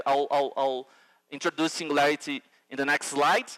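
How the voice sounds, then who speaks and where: The speaker has a Brazilian accent and a bright, sharp tone. The pace is fairly quick. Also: man. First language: Portuguese. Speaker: futurist and educator. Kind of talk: conference keynote. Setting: stage with audience. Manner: halting, many fillers.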